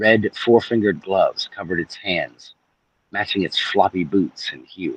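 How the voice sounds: Behind the natural reading voice, the background stays quiet.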